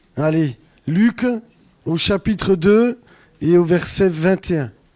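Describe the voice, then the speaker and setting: A man's dark, mellow tone with lively intonation. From Franche-Comté, Territoire de Belfort. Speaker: pastor. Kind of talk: sermon.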